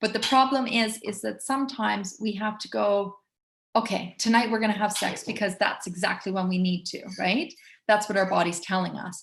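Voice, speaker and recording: This woman talks at a moderate pace in a medium, somewhat breathy voice whose pitch varies in an ordinary way. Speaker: essential oils educator. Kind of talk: webinar presentation with sales pitch.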